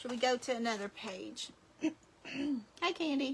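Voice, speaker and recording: Projecting a raised voice, a woman with a high pitch talks at a moderate pace with ordinary pitch variation. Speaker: crafting video creator. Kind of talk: craft tutorial livestream. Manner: casual, chatty.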